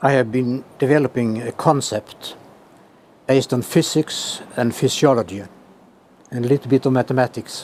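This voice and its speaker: Long, frequent pauses break up a man's speech, delivered in a Swedish accent at medium pitch with fairly even intonation and a dry, close sound with no echo. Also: moderate pace. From Sweden. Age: 80s+. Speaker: professor emeritus of clinical physiology. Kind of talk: interview answer.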